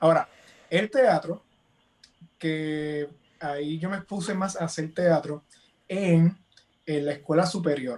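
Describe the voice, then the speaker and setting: The speech moves at a very slow pace with long, frequent pauses. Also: man, high pitch for a man, ordinary pitch variation. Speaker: author, illustrator and actor. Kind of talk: interview.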